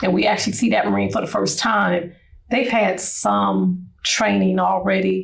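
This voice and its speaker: An American accent marks this woman's speech, which moves at a moderate pace with very even loudness over noticeable background noise. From US Midwest, Cleveland Ohio. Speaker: retired Marine Corps chief warrant officer. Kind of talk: interview.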